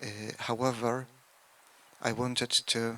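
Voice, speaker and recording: The voice has a bright, sharp tone and a Polish accent. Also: man. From Poland. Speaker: local speaker at memorial. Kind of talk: commemorative speech.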